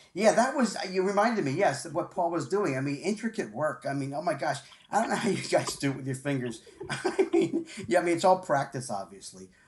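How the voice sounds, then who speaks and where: This man talks fairly quickly in a high pitch with very wide pitch swings, and noticeable background noise runs behind him. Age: 60s. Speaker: sports radio host. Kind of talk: casual interview chat. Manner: halting, repetitive.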